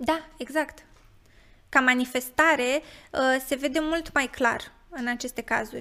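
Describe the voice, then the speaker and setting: A woman with a high pitch raises and projects her voice in a bright, sharp tone. She talks fairly slowly with fairly even intonation and long, frequent pauses. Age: 20s. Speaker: psychotherapist. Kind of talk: interview.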